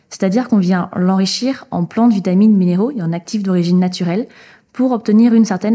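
In a dark, mellow tone, a woman speaks at a fairly quick pace, somewhat breathy, with fairly even intonation. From French Basque Country. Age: 20s. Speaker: entrepreneur. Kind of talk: interview.

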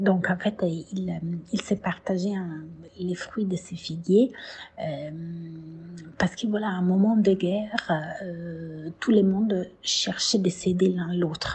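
Somewhat breathy, a woman with a medium pitch speaks at a very slow pace, with fairly even intonation. She takes long, frequent pauses. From Italy, Tuscany (Siena). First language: Italian (speaking French). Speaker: herbalist. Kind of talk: testimony. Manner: halting, many hesitations.

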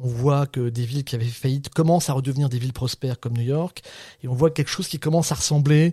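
A man talks at a very fast pace in a dark, mellow, somewhat breathy voice of medium pitch, with ordinary pitch variation and a dry, close sound with no echo. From Brittany, France (Saint-Brieuc). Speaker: professor and researcher. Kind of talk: interview.

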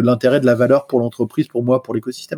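A man's medium-pitched voice with a dry, close sound and no echo. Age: 40s. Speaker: software engineer. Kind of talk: casual chat. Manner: hesitant.

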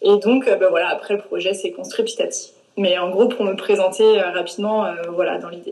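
The pace of this woman's speech is moderate. Her loudness swings widely. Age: 20s. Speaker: plant-based nutrition coach. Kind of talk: interview. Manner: hesitant, many fillers.

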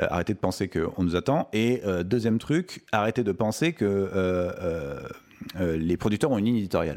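A man's normal speaking voice, at a moderate pace, with lively intonation and very even loudness. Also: fairly low pitch for a man. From Paris suburbs, France. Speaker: film director. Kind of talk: interview.

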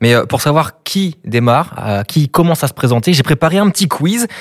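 Somewhat breathy male speech with lively intonation, dry and close with no echo. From Brittany. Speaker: podcast host. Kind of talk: interview.

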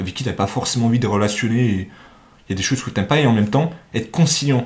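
Somewhat breathy, a man speaks at a very fast pace with lively intonation. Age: 20s. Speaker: university student and podcast host. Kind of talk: casual chat.

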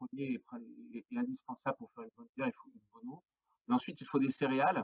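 A man's fairly high voice at a very fast pace, very wide pitch swings, and a dry, close sound with no echo. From northern France (Flanders). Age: 40s. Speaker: craft brewer, entrepreneur. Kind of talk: podcast interview. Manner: hesitant, many fillers and repetitions.

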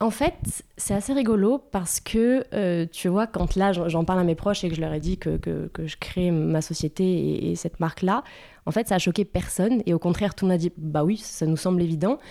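Her voice fairly low-pitched with a dark, mellow tone, a woman speaks at a moderate pace. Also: ordinary pitch variation. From France, Bordeaux. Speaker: entrepreneur, skincare brand founder. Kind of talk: casual interview chat. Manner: halting, many hesitations and repetitions.

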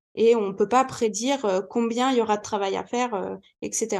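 This woman speaks in a high-pitched voice. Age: 20s. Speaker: business mentor. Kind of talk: podcast interview.

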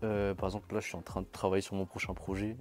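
Talking at a very fast pace, a man uses a fairly low pitch. The recording is very clean, with a silent background. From Madagascar. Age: young. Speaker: R&B singer. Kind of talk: interview. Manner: casual.

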